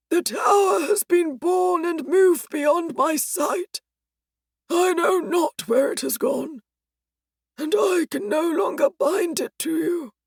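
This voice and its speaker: A put-on character voice, raspy and extremely high, at a fairly slow pace. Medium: read story. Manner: formal, archaic phrasing.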